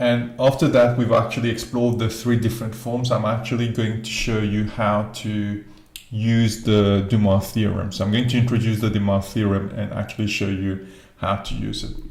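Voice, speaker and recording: Amid audible room echo and noticeable background noise, a man talks at a medium pitch and moderate pace in a monotone, flat intonation. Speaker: maths teacher. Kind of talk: tutorial.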